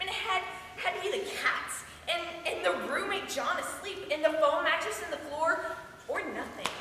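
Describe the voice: A woman does a put-on character voice at an extremely high pitch, with a bright, sharp tone. Her pitch varies in an ordinary way, and strong room echo surrounds her. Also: moderate pace.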